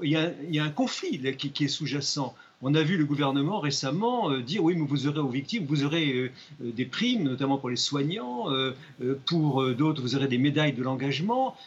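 A man speaks at a fairly high pitch and a moderate pace. His voice is somewhat breathy, with ordinary pitch variation. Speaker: magistrate. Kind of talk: studio debate interview. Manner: halting.

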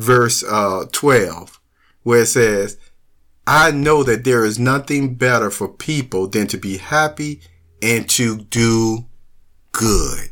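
A man speaks slowly at a medium pitch with ordinary pitch variation and a fairly bright tone. The recording is very clean, with a silent background.

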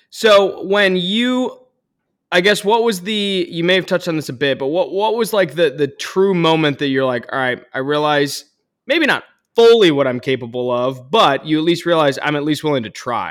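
On a very clean recording with a silent background, a man with an unremarkable speaking voice and fairly high pitch talks at a fairly quick pace with lively intonation. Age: 20s. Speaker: podcast host. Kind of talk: podcast interview.

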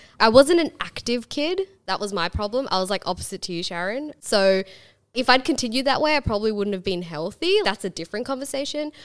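A woman with an Australian accent speaks at a very fast pace, her pitch fairly high. Her voice rises and falls in very wide swings. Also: very clean recording, silent background. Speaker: podcast host. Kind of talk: casual interview.

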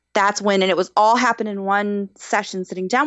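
A woman with an ordinary speaking voice, fairly even intonation and a moderate pace. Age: 20s. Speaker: mental health guest. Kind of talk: personal testimony in casual interview.

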